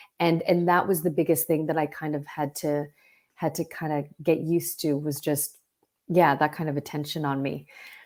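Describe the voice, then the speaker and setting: A woman's very deep, low voice with a Canadian accent, flat monotone intonation, and a very clean recording over a silent background. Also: moderate pace. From Vancouver, Canada. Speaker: actor. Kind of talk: interview. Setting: podcast. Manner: halting.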